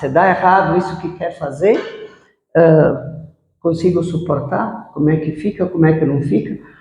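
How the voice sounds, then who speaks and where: Audible room echo follows a woman speaking at a fairly low pitch. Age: 60s. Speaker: businesswoman. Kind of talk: interview.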